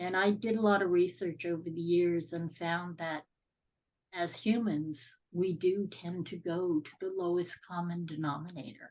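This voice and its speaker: Her pitch fairly low and her intonation fairly even, the woman uses a normal speaking voice at a moderate speed. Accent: Canadian. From Canada (Ontario). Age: 60s. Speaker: podcast guest sharing life story. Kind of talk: interview testimony.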